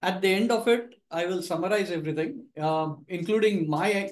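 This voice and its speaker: A high-pitched man speaks with ordinary pitch variation. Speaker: presenter. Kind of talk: lecture introduction. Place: meeting room. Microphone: webcam.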